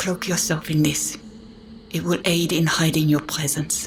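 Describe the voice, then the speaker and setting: A put-on character voice at a middle pitch moves at a moderate pace over clear background noise. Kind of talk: archaic formal speech. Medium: actual play. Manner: formal, measured.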